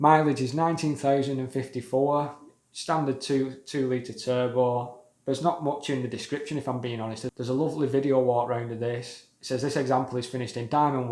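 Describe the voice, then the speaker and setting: With a British accent, a man speaks at a fairly quick pace in a monotone, flat intonation. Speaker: car enthusiast YouTuber. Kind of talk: casual video commentary.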